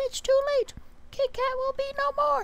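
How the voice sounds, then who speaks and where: Squeaky put-on character voice at an extremely high pitch and a moderate pace. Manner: dramatic, villainous threat.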